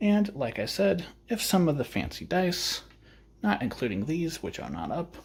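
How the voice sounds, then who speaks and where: A quiet man talks at a fairly slow pace, with vocal fry and very wide pitch swings. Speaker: tabletop gaming youtuber. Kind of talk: solo wargame playthrough commentary. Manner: quiet, low energy.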